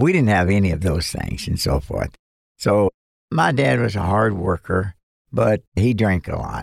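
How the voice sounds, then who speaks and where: Speaking at a fairly slow pace in a Southern US accent, a man with a fairly low pitch and vocal fry swings very widely in pitch, recorded dry and close with no echo. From US South, western Kentucky. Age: 80s+. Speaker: retired missionary and preacher. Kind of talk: radio interview. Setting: studio.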